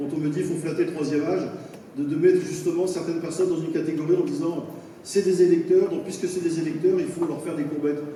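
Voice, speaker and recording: With noticeable background noise and audible room echo, a man speaks very fast in a high, monotone voice with flat intonation. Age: 50s. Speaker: municipal election candidate. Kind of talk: campaign speech.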